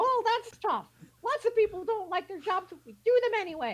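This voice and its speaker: A woman puts on a squeaky character voice at an extremely high pitch. Her pace is moderate. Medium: stage play. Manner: brisk, businesslike.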